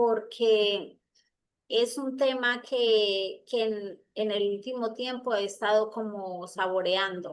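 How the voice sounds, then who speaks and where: A woman speaks very slowly in a fairly high pitch. Her intonation stays fairly even against a quiet background. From Colombia. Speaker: psychologist and traditional healer. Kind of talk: talk in an online circle. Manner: halting, many fillers.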